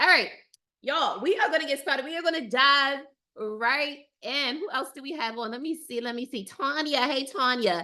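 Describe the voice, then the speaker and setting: A woman with a high-pitched, bright, sharp tone projects her raised voice at a moderate pace, with lively intonation and big swings in loudness. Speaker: dating coach. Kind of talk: live webinar. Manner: animated.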